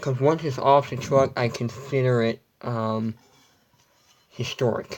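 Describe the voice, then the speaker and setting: A quiet man's voice, fairly slow in pace and fairly even in intonation. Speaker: vlogger. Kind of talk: casual room tour livestream. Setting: at home, in bedroom. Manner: quiet, hushed.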